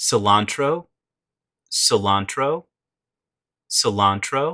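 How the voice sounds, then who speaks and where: A man's fairly high, bright, sharp voice at a very slow pace with lively intonation, recorded very clean against a silent background, with a dry, close sound and no echo. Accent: American. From United States. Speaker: English pronunciation teacher. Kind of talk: English vocabulary lesson, repeated word drills.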